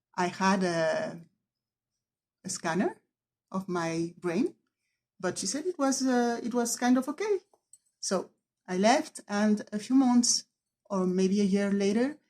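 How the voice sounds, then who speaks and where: A woman with medium pitch speaks at a fairly slow pace, somewhat breathy, with lively intonation. She leaves long, frequent pauses. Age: 50s. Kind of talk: personal video testimony. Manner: halting, word-searching.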